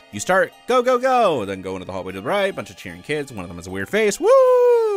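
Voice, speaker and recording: There is music in the background as a man speaks. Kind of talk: fan theory commentary. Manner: casual, self-deprecating.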